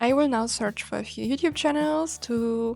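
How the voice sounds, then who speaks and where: With a German accent, a woman talks at a fairly slow pace in a fairly high pitch. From Germany. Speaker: YouTuber. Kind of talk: vlog. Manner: halting.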